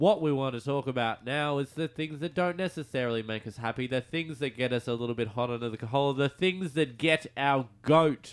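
Heard in a very clean recording with a silent background, a man with an Australian accent speaks at a moderate pace. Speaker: radio host. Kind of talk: casual radio chat. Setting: radio studio.

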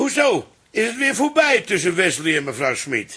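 Using a put-on character voice, a man speaks at a moderate pace in a high pitch with very wide swings, his tone bright and sharp with a husky, rough edge.

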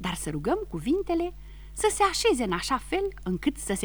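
Plain reading aloud is what the speaker offers.

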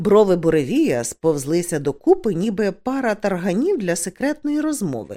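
A reading voice that sounds unforced

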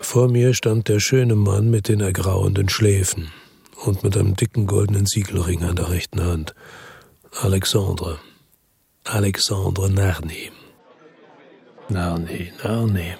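In a put-on character voice, a man speaks at a fairly slow pace with a low pitch, a slightly mellow tone, vocal fry, a husky, rough edge and fairly even intonation.

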